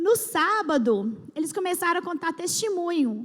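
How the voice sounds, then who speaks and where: This very clean recording, with its silent background, captures a woman speaking. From Brazil. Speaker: church speaker. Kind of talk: testimony. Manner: halting, with restarts.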